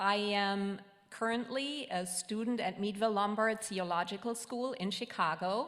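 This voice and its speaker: A woman speaks at a fairly slow pace in a slight German accent. Audible room echo surrounds her voice. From Germany. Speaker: ministry student and intern. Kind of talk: self-introduction to congregation. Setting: church service.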